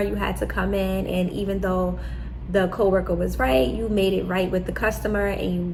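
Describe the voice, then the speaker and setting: With noticeable background noise and audible room echo, a woman with a New York accent talks at a moderate pace in an animated tone. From New York City. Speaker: medical assistant and vlogger. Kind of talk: advice vlog.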